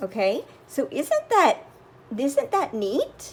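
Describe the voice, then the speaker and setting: A woman with a Southern US accent. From US South. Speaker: crafting YouTuber. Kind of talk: tutorial. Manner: slow.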